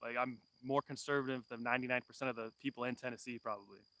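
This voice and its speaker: At a very fast pace, a man with a Californian accent speaks at a medium pitch in a bright, sharp tone, his intonation monotone and flat, in a dry, close recording with no echo. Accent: Californian American. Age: 30s. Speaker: homesteader. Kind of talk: live stream chat. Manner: casual, many fillers.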